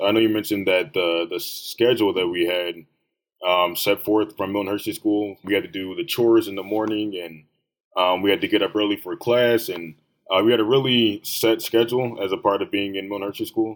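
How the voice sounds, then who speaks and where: A man with a normal speaking voice in an American accent, fairly low in pitch, fairly even in intonation and fairly quick in pace, on a very clean recording with a silent background. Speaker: student interviewer. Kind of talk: interview.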